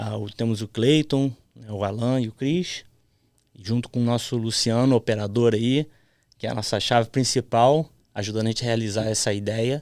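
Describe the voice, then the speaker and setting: A man with an unremarkable speaking voice, medium pitch and fairly even intonation, on a very clean recording with a silent background. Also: moderate pace. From childhood in Florida, US; adolescence in Brazil. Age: 30s. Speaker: podcast host. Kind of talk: casual chat.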